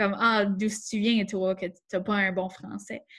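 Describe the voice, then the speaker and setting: The recording is very clean, with a silent background. A woman with a fairly high pitch speaks somewhat breathily at a fairly slow pace. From Acadia, southeast New Brunswick. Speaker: workshop host. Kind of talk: panel discussion.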